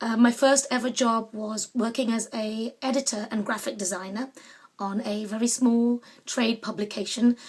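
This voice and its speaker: A woman with a London accent at a moderate pace. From London, England. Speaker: artist and small business owner. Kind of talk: casual personal monologue. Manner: hesitant with frequent fillers.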